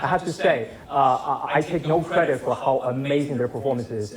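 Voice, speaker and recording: With a non-native accent, a man speaks at a fairly quick pace over noticeable background noise. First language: not English. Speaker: filmmaker. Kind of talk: Q&A after film screening. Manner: hesitant, many fillers and repetitions.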